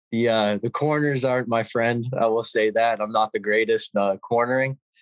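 He speaks at a moderate pace. The man has an unremarkable speaking voice. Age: young. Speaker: ATV racer. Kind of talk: casual interview chat.

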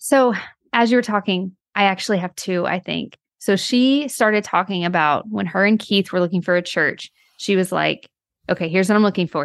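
Against a quiet background, a woman with a normal speaking voice talks at a medium pitch and a fairly quick pace, with ordinary pitch variation. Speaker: podcast co-host. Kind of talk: interview.

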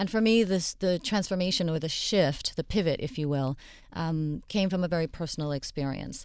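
A woman speaks at a moderate pace with ordinary pitch variation in an unremarkable speaking voice. The recording is very clean, with a silent background. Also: fairly low pitch for a woman. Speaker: plastic surgeon. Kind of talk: radio panel discussion. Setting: studio.

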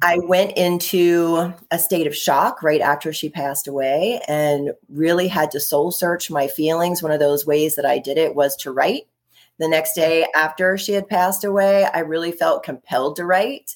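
Talking at a moderate pace, a woman with an American accent has a plain, everyday voice at a fairly low pitch. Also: ordinary pitch variation. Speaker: intuitive energy healer and author. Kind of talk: casual interview chat.

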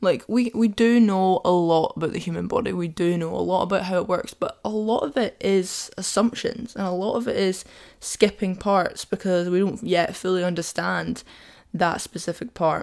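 A woman talks in a medium pitch at a moderate pace. Her intonation stays fairly even. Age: 20s. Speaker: podcast host, university student. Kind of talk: casual monologue. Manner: chatty, frequent laughter and fillers.

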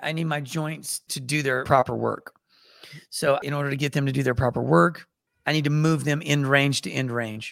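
Fairly high in pitch, a man with an ordinary speaking voice talks at a moderate pace with ordinary pitch variation. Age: 50s. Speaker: martial arts and movement teacher. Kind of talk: interview.

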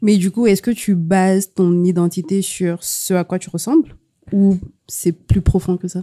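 A woman's dark, mellow tone carries big swings in loudness and fairly even intonation in a dry, close sound with no echo. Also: medium pitch for a woman. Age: young. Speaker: copywriter. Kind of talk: casual chat.

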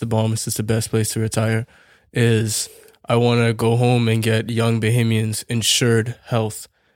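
Over a silent background in a very clean recording, a man talks at a moderate pace in a medium pitch with monotone, flat intonation. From Bahamas. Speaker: baseball player. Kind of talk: casual interview.

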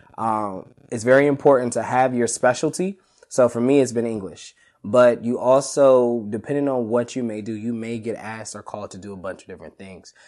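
A man's normal speaking voice at a fairly quick pace, medium in pitch with ordinary pitch variation and big swings in loudness. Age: 20s. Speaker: high school English teacher. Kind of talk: casual interview.

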